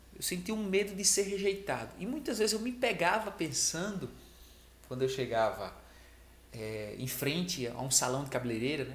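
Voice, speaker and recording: A man's voice with lively intonation, audible room echo and noticeable background noise. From Brazil, small rural village. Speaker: sales trainer, video creator. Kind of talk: motivational talk to camera. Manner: casual, conversational.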